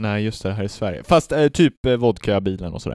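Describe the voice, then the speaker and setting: In a very clean recording with a silent background and a dry, close sound with no echo, a man with a fairly low pitch and an unremarkable speaking voice talks at a moderate pace. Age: 20s. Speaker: podcast co-host. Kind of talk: casual chat.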